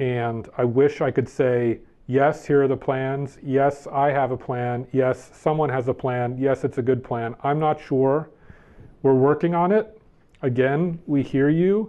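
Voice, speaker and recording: A man with an ordinary speaking voice uses a medium pitch and ordinary pitch variation at a fairly slow pace. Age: 40s. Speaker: game company play programs director. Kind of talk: casual interview.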